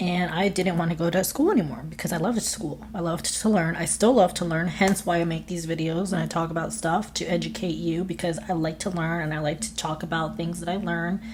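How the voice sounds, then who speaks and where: Over noticeable background noise and audible room echo, a woman with a fairly low pitch speaks at a fairly quick pace with hardly any pauses. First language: Spanish. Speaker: online content creator. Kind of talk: vlog monologue. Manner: animated.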